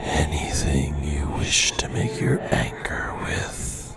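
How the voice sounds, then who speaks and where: A man whispers in a breathy, put-on character voice at a very slow pace, with faint music in the background. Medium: read story. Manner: terse, archaic phrasing.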